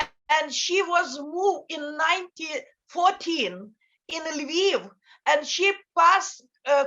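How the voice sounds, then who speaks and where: A woman speaks very slowly in an extremely high pitch, her voice raised and projected. The tone is bright and sharp, with ordinary pitch variation. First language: Ukrainian. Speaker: NGO director. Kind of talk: panel talk. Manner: halting. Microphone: bad connection.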